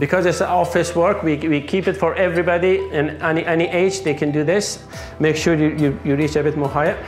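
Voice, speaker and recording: A moderate pace over faint background music. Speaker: fitness trainer. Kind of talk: workout instruction. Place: empty room.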